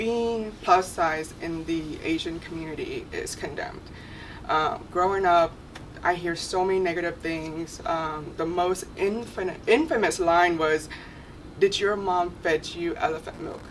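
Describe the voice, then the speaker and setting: A woman speaks at a fairly slow pace with a Vietnamese accent, her pitch fairly low and her intonation fairly even. The room echo is audible, and there is noticeable background noise. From Vietnam, moved to the US as a child. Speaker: panel guest. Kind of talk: testimony.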